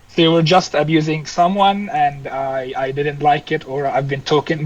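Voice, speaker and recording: Fairly high-pitched male voice over noticeable background noise. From Egypt. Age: 20s. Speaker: fighter pilot. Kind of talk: podcast interview. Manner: halting.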